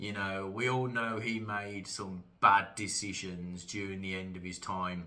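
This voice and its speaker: Speaking with a British accent, a man talks at a fairly slow pace. His pitch is fairly low and his tone bright and sharp. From UK. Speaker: wrestling commentator YouTuber. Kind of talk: casual monologue vlog. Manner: hesitant, many fillers.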